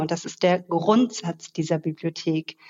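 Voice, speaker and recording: This woman has a plain, everyday voice with fairly low pitch. She talks at a fairly slow pace. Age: 40s. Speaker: expert on social sustainability. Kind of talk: interview conversation. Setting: remote call.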